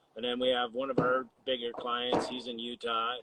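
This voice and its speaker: Very fast speech over noticeable background noise. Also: man. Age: 60s. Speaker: HVAC business owner. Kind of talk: casual chat.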